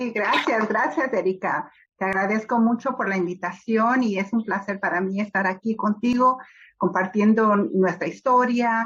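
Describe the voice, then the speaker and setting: A woman speaks at a fairly slow pace with a fairly high pitch. Her pitch varies in an ordinary way. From Los Angeles, US (born Mexico City). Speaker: children's book author. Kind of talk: interview. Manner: hesitant, many fillers.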